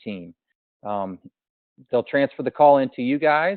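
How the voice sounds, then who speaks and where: A man talks at a very fast pace. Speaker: sales trainer. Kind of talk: training session.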